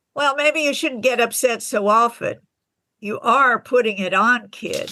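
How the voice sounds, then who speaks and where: Woman's put-on character voice, high in pitch, at a moderate pace with ordinary pitch variation. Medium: audio drama. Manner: blunt, crude.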